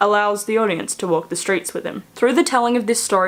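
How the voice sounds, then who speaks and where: Her Australian accent comes through as a woman speaks at medium pitch with ordinary pitch variation. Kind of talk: school essay read aloud.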